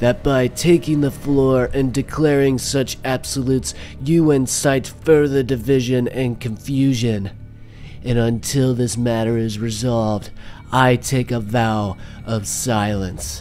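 Clear background noise accompanies a man speaking at a fairly slow pace and medium pitch. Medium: audio drama. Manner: stern, indignant, accusing; cold, measured, final.

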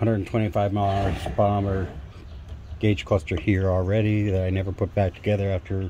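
Over noticeable background noise, a man talks in a fairly low pitch at a moderate pace. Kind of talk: tutorial. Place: garage. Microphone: phone near.

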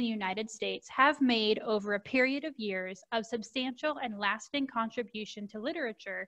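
Against a quiet background, a woman talks at a moderate pace. Her pitch varies in an ordinary way. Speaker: presenter. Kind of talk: presentation on book resources. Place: home room. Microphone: video call.

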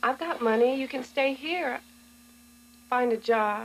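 A woman puts on a character voice with a high pitch and vocal fry. She speaks at a fairly slow pace with ordinary pitch variation.

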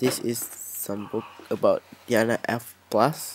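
Soft-spoken, mumbling speech comes through. The sound is dry with no echo, over light background noise. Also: man. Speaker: hobby photographer. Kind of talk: casual unboxing talk to camera. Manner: soft-spoken, somewhat mumbling. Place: home room. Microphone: camera far.

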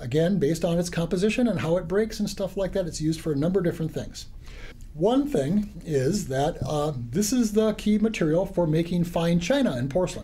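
A man's high-pitched voice with lively intonation at a fairly quick pace. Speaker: geology instructor. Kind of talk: lecture. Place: classroom.

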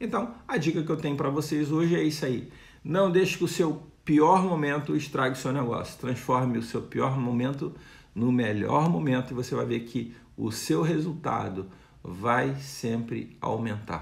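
This man, speaking with a Brazilian accent, uses lively intonation and vocal fry. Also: moderate pace. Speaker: retail consultant, video creator. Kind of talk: tutorial-style business advice; around 2:25 he mimics a supermarket loudspeaker announcer. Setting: video channel, direct to camera. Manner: animated, pitchman-like, punchy, brisk sales-patter delivery when doing the announcer bit; informal, explanatory, with hesitations and repeated words. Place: home room. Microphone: phone near.

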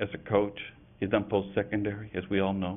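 A man speaks at a fairly low pitch. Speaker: school superintendent. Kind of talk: formal board meeting presentation. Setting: public meeting room.

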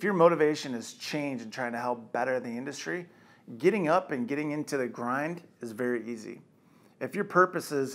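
This man speaks at a moderate pace with ordinary pitch variation. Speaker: company executive giving motivational talk. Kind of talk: motivational monologue. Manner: casual, direct. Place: office.

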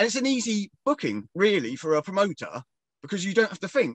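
In a southern English accent, a man talks fairly quickly at a high pitch with very wide pitch swings, the sound dry with no echo and the background quiet. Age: 40s. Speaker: professional wrestler. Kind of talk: casual interview. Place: home room. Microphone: video call.

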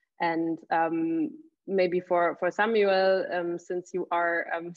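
A woman with a German accent speaks at medium pitch. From Germany. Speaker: university admissions coordinator. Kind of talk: moderated panel discussion. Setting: video call.

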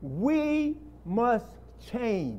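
Very wide pitch swings with an American accent. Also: man. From US inner city. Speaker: lay preacher. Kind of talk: sermon. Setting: church. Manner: animated. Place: church.

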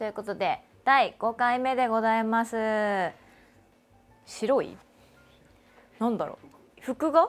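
A woman talks in a cheerful tone with a fairly high pitch. She leaves long, frequent pauses over faint music in the background. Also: ordinary pitch variation, fairly slow pace. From Kanagawa, Japan. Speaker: voice actor and show host. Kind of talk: casual talk to camera, livestream radio-style show. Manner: cheerful, chatty. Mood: cheerful, friendly. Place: studio. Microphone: lapel.

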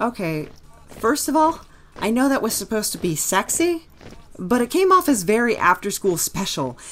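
Using a put-on character voice, a woman whines in an anxious, whiny tone at a fairly high pitch, with very wide pitch swings and a moderate pace. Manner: anxious, whiny, easily distracted.

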